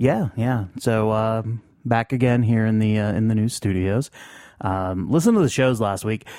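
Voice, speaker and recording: Medium pitch and a moderate pace from a man, with ordinary pitch variation and an unremarkable speaking voice. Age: 30s. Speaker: podcast host. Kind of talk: casual chat. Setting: studio.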